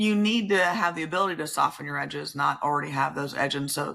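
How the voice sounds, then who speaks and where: A loud woman at a very deep, low pitch, bright and sharp in tone with vocal fry, talking at a fairly quick pace on a very clean recording with a silent background. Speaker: family law judge. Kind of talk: podcast interview.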